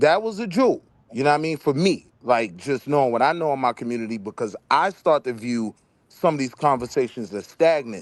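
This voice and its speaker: A man with an unremarkable speaking voice talks at medium pitch, fairly quickly and with lively intonation. The sound is dry and close with no echo, over a quiet background. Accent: American. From Harlem, New York. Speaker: debate show host. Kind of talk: panel discussion. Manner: casual.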